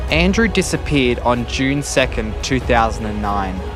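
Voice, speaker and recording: A man with an Australian accent at a moderate pace, music in the background. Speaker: TV news reporter. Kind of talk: TV news report.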